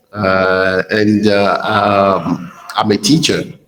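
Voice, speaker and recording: The voice moves at a very slow pace with fairly even intonation. Audible room echo surrounds it. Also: man. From Benin. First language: French. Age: 30s. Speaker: geography teacher. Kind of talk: casual chat. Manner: halting.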